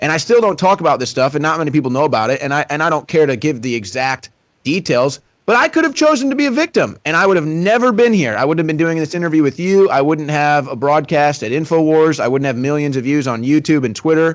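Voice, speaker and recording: A man with an American accent and a fairly high pitch talks at a very fast pace with lively intonation and hardly any pauses. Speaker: political broadcaster. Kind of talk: interview. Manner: loud.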